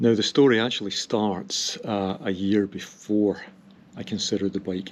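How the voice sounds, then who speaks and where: The speaker is a man with a fairly low pitch and fairly even intonation. It is a plain, everyday voice. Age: 60s. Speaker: cycling vlogger. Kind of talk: casual vlog monologue. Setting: outdoors on a hill.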